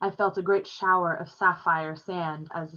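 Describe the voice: The intonation holds fairly even. It is plain reading aloud.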